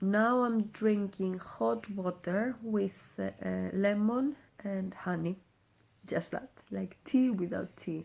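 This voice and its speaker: A woman's medium-pitched voice with a Greek accent, very slow pace and ordinary pitch variation. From Greece. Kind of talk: casual talk to camera.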